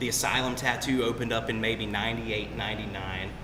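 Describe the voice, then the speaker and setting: With an American accent, a man speaks at a medium pitch over noticeable background noise and audible room echo. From US South, Albany, Georgia. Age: 30s. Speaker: tattoo artist. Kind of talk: casual chat. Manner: relaxed, filler-heavy.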